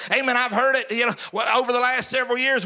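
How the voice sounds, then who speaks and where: A man with a Southern US accent raises and projects his extremely high-pitched voice in an animated tone over noticeable background noise. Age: 50s. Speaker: preacher. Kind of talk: sermon. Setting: church. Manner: animated call-and-response preaching, repeating phrases and asking for amens; folksy, humorous, self-deprecating.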